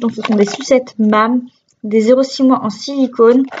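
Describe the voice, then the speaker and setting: Her voice sits at a high pitch, and the woman speaks with monotone, flat intonation. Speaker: vlogger, mother of young children. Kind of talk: casual product haul vlog. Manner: hesitant, many fillers.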